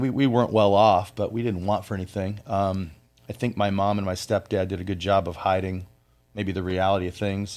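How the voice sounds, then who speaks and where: A man with an unremarkable speaking voice and an American accent, fairly low in pitch, at a fairly quick pace, in a very clean recording with a silent background. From US Midwest, Flint, Michigan. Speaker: business owner. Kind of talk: interview.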